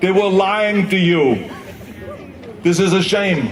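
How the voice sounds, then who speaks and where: Noticeable background noise sits behind a man speaking at a very slow pace. His pitch is high and his intonation fairly even. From Austria. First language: German. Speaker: former politician and actor. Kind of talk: public speech at a climate rally. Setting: outdoors.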